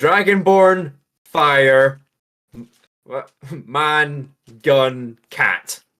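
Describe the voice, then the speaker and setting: Using a put-on character voice, a man sounds raspy and pitches himself fairly high. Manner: broken, partial words.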